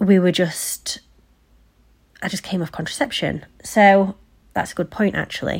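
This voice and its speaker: On a very clean recording with a silent background, a woman with an English accent speaks at a fairly slow pace, leaving long, frequent pauses. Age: 30s. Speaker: podcast host. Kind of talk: personal storytelling monologue. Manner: casual, unscripted.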